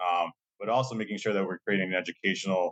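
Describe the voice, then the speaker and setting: Intonation stays fairly even in a Massachusetts accent. The sound is dry and close, with no echo. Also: man. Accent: Massachusetts American English. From Lowell, Massachusetts, US; Colombian-American family. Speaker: college diversity administrator. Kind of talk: podcast interview. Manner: casual, many fillers and repetitions.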